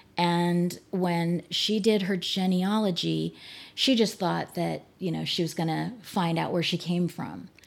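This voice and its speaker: A woman with an American accent has an ordinary speaking voice, pitched fairly low, with fairly even intonation. She talks at a fairly slow pace in a very clean recording with a silent background. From US Northeast (New Jersey, New York, Pennsylvania). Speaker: church member, genealogist. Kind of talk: casual interview.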